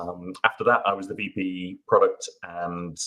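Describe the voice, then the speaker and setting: A man with a British accent. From UK. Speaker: SEO consultant and tool builder. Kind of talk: panel discussion. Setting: live online webinar.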